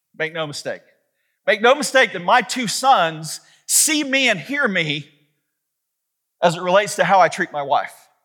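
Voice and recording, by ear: A man's high voice at a fairly slow pace, bright and sharp in tone, with big pitch swings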